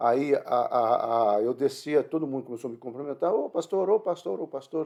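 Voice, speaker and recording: At a moderate pace, a man speaks in a fairly high pitch with a dark, mellow tone and lively intonation. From northern Paraná, Brazil. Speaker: pastor. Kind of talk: sermon. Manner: halting.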